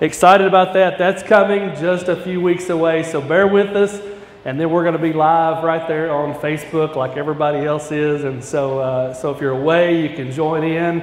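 In a space with audible room echo, a man talks with fairly even intonation and hardly any pauses. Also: moderate pace. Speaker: guest preacher. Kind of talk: sermon. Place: church.

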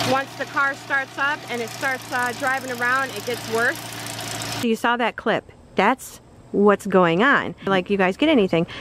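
Over noticeable background noise, a woman speaks at a high pitch in a dry sound with no echo. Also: ordinary pitch variation. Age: 30s. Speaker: vlogger sharing family update. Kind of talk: casual vlog chat. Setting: outdoors on a porch. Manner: fast, run-on talk. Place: street. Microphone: phone near.

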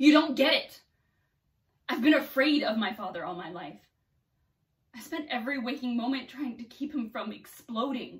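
A woman with a high pitch talks at a moderate pace with lively intonation. She leaves long, frequent pauses, and her loudness swings widely. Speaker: actor. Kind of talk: acting monologue. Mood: angry, bitter, emotional. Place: home room. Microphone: camera far.

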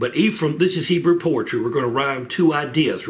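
A man's voice with ordinary pitch variation, music in the background. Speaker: church Bible study teacher. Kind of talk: Bible study lecture. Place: home room. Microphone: webcam.

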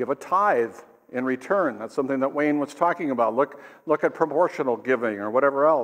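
A man talks at a fairly quick pace. His pitch is medium, with ordinary pitch variation.

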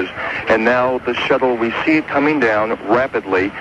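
Background noise is clearly audible. Over it, a man talks. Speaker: radio field correspondent. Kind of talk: live radio commentary of shuttle landing, 1985 news report. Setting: outdoors at air force base, live broadcast. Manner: measured, descriptive, building suspense.

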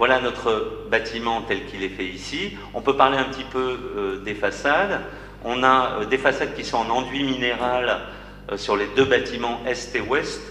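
A man at a medium pitch and fairly slow pace, with light background noise and audible room echo. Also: ordinary pitch variation. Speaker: architect. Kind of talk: project presentation. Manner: halting. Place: hall.

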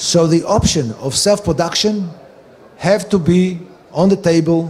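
A man with a high-pitched voice at a fairly slow pace. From Israel. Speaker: medical cannabis researcher and advocate; conference lecturer. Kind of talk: conference lecture. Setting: stage with audience. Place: hall.

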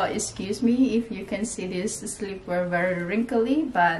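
A woman talks at a fairly slow pace, her pitch varying in an ordinary way. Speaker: fashion vlogger. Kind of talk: casual try-on haul chat. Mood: cheerful, laughing often. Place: home room. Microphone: camera far.

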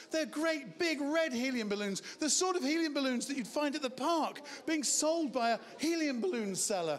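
A man with a high pitch at a moderate pace, hardly any pauses, and light background noise. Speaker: stage hypnotist. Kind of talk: hypnotic induction patter for a live comedy show. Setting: stage with audience. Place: bar. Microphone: handheld.

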